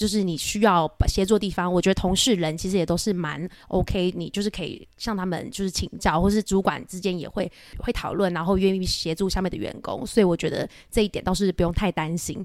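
A woman's medium-pitched voice, a normal speaking voice, fairly quick with fairly even intonation. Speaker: private banker. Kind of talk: interview conversation.

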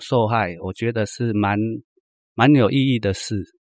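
Ordinary pitch variation shapes a man's medium-pitched voice, heard in a dry, close sound with no echo. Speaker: former drug addict giving testimony. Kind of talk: testimony. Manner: halting, many fillers.

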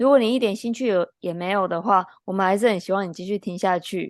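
A woman's medium-pitched voice with a Taiwanese accent, at a fairly quick pace over a quiet background. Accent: Taiwanese Mandarin. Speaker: athletic trainer and podcast co-host. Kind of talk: casual chat.

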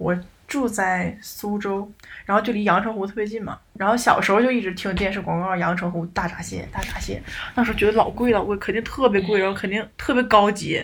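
A woman talks at a fairly quick pace with a medium pitch and fairly even intonation. There is noticeable background noise. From Northeast China. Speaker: podcast co-host. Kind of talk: casual chat.

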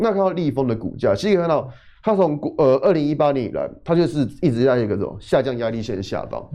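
A man with a dark, mellow tone, fairly high pitch, very wide pitch swings and a very fast pace. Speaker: technical analysis expert. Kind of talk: financial talk show, studio discussion.

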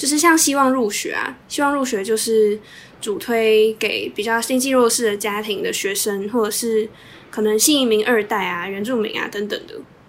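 At a moderate pace, this woman has an unremarkable speaking voice, fairly high in pitch and showing ordinary pitch variation. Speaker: podcast co-host, social work student. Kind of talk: casual chat.

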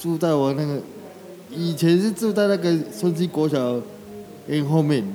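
With noticeable background noise behind him, a man speaks at a fairly high pitch and fairly slow pace with ordinary pitch variation. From Taiwan, Shuangxi (New Taipei). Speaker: street vendor, wheelchair user. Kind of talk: interview.

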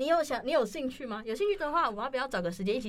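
The woman's pitch swings very widely as she talks. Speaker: podcast co-host. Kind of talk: casual chat. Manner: animated, laughs often.

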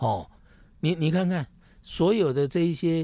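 This man has a high pitch and a dark, mellow tone, and he talks at a fairly slow pace. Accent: Taiwanese. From Taiwan, Taipei Neihu. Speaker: city councillor candidate. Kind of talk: interview, casual chat.

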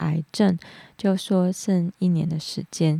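In a very slow, monotone delivery, a woman speaks with a fairly low pitch and a dark, mellow tone, the sound dry and close with no echo on a very clean recording with a silent background. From Hong Kong. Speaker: podcast host. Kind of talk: casual talk monologue.

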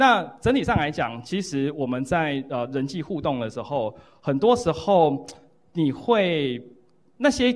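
A fairly high-pitched male voice, swinging very widely in pitch. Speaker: psychology professor, book co-author. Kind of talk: lecture and Q&A at book launch. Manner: repetitive fillers, halting.

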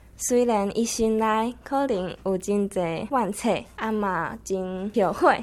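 At a very slow pace with hardly any pauses, a woman speaks at medium pitch with ordinary pitch variation. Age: 20s. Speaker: university student. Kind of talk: prepared spoken talk.

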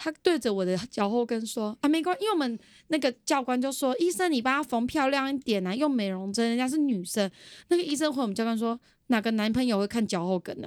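A woman's high-pitched voice at a very fast pace with lively intonation. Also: very clean recording, silent background. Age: 20s. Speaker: podcast guest. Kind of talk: casual chat.

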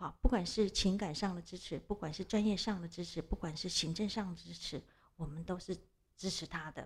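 A woman talks with lively intonation at a medium pitch. Vocal fry runs through her voice. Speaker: social welfare institution director. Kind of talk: interview. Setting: studio. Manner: hesitant, many fillers.

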